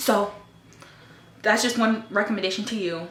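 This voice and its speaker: At a fairly quick pace, a woman talks over noticeable background noise with audible room echo. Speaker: lifestyle vlogger giving dating advice. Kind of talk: casual monologue to camera. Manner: loud; animated.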